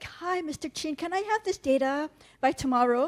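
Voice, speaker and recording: Putting on a squeaky character voice in an American accent, a woman speaks at a high pitch with lively intonation and a moderate pace. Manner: polite, casual request.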